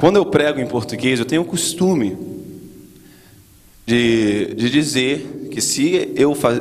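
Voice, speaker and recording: A man at medium pitch with lively intonation and audible room echo. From Brazil, raised in US from childhood. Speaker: guest preacher. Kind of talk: sermon. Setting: church.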